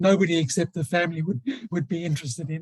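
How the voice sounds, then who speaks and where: A man talks fairly quickly in a high voice. The sound is dry and close, with no echo. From South Africa, Johannesburg. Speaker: author. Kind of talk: interview.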